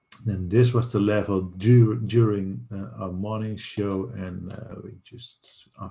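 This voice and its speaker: A man's fairly low, somewhat breathy voice with a dark, mellow tone, ordinary pitch variation and a very slow pace. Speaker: day trading streamer. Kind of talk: market update livestream.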